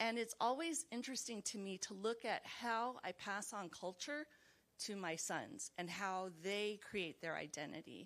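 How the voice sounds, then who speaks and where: Speaking at a fairly slow pace with a Californian accent, a woman uses lively intonation in a medium pitch. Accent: General American, Californian. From Los Angeles, US. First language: Chinese. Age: 40s. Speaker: mental health professional, book club participant. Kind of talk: book club discussion. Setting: video call.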